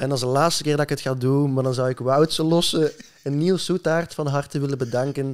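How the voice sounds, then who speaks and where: Against a quiet background, a man with a Flemish accent talks at a fairly quick pace with fairly even intonation. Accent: Flemish Dutch. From Belgium, Flanders (Leuven area); Flanders, Belgium. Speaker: musician; podcast guest. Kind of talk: casual chat. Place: home room. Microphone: studio mic.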